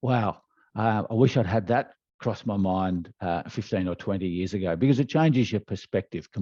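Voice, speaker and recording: Speaking at a moderate pace with an Australian accent, a man has a fairly low pitch, a dark, mellow tone and ordinary pitch variation, recorded dry and close with no echo against a quiet background. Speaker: leadership development trainer. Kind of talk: interview answer.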